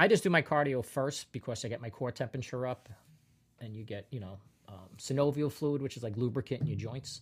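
The somewhat breathy voice moves at a fairly quick pace with ordinary pitch variation and big swings in loudness, on a very clean recording with a silent background. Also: man, medium pitch for a man. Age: 50s. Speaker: comedian. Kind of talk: casual chat.

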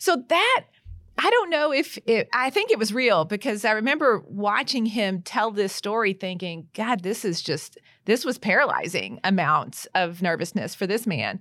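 In a very clean recording with a silent background, a woman with a plain, everyday voice talks at a moderate pace and a fairly high pitch. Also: lively intonation. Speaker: trial attorney. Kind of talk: casual roundtable discussion.

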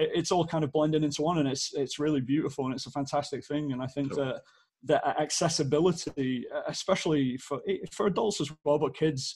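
This man has a British accent and a somewhat breathy, fairly high voice. He talks at a fairly quick pace with fairly even intonation. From northern England, Stockport near Manchester. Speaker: amateur soccer league organizer. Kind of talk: casual chat.

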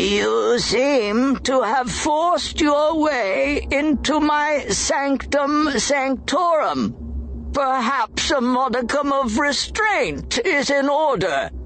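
Over clear background noise, a high, resonant, croaky put-on character voice moves at a very slow pace with hardly any pauses. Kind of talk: formal, archaic, stately. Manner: slow, deliberate.

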